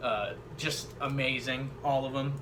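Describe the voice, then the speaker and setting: A man at a medium pitch is heard with audible room echo and noticeable background noise around him. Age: 20s. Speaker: YouTuber discussing hip hop. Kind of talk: casual monologue, opinion video. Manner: casual, hesitant with fillers.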